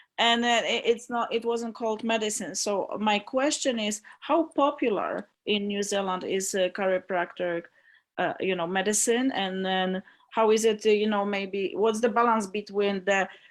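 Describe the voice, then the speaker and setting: A woman with a Polish accent speaks at a moderate pace in a fairly high pitch with ordinary pitch variation, on a very clean recording with a silent background. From Poland. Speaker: audience member. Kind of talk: casual chat.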